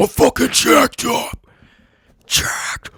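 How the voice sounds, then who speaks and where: This is a put-on character voice with a raspy edge. It moves at a fairly slow pace. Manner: aggressive, hyped.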